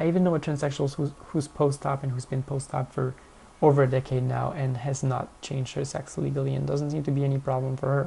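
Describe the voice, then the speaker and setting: This speaker has a French accent and talks at a very fast pace. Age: 20s. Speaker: vlogger. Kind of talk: casual Q&A monologue.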